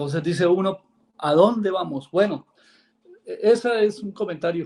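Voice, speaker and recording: A man at a moderate pace, high in pitch, with ordinary pitch variation and big swings in loudness. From Colombia. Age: 60s. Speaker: caller, lawyer. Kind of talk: call-in comment on live show. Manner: halting, many fillers.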